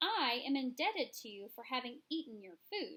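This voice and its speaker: High-pitched put-on character voice from a woman, moderately paced and swinging very widely in pitch. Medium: read story. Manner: unhurried, ponderous.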